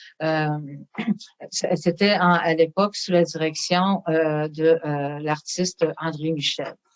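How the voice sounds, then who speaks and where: A woman speaks at a very slow pace. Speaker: storyteller and artist, museum guide. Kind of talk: interview answer, explaining museum history.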